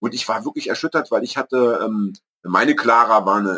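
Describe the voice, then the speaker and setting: A man talks at a moderate pace, and the sound is dry and close with no echo. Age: 50s. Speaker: podcast co-host and author. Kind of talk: casual chat. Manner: halting.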